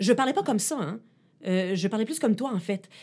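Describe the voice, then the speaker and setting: Over a very clean recording with a silent background, a woman speaks in an unremarkable speaking voice at medium pitch with lively intonation. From Ottawa and Quebec, Canada. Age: 40s. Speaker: journalist and tech columnist. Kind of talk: interview.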